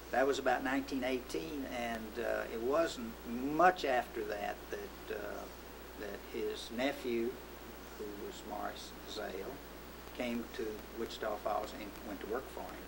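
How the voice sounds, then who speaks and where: A man with an American accent at a fairly slow pace, over loud background noise. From Texas, USA. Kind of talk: oral history interview answer. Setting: recorded interview.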